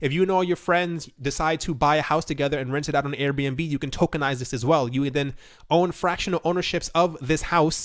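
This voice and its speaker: In a very clean recording with a silent background, a man speaks at a fairly quick pace with fairly high pitch and fairly even intonation. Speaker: crypto news youtuber. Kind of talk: casual commentary video. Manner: fast.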